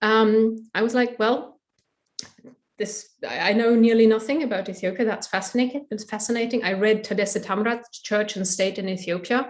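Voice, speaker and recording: Speaking with a German accent, a woman keeps a moderate pace, a fairly high pitch and fairly even intonation. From Germany. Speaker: historian. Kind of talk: academic interview. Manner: hesitant with fillers.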